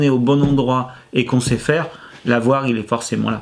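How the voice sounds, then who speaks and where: A man's medium-pitched voice at a moderate pace. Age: 50s. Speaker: former IT engineer who changed life. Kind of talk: testimony interview. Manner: hesitant, many fillers and repetitions.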